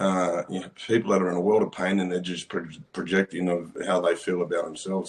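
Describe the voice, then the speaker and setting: An Australian-accented man talks at a very fast pace with a very deep, low pitch. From Australia, Western Sydney. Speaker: survivor advocate and former prisoner. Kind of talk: casual chat.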